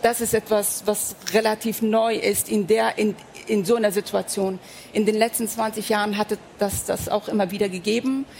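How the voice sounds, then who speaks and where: The delivery is monotone and flat, with very even loudness and noticeable background noise. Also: woman, fairly high pitch for a woman, moderate pace. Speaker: author. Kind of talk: panel discussion.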